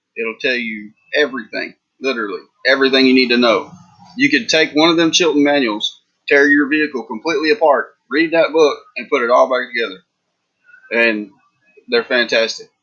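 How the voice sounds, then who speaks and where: With a Texas accent, a man speaks fairly quickly at a fairly high pitch with ordinary pitch variation, broken up by long, frequent pauses. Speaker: reseller youtuber. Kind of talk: casual livestream chat. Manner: casual, rambling with fillers.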